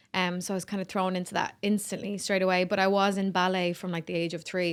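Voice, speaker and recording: This is a woman speaking. She has a Dublin accent. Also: very clean recording, silent background. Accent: Dublin Irish. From Ireland, Dublin (Swords). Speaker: singer-songwriter. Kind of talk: podcast interview. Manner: animated, chatty.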